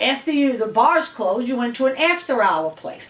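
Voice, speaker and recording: Over noticeable background noise, a woman with a New York accent talks at a moderate pace in a high voice whose pitch swings very widely. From New York City, East Harlem. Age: 70s. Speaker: interviewee. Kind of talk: interview. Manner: casual, conversational.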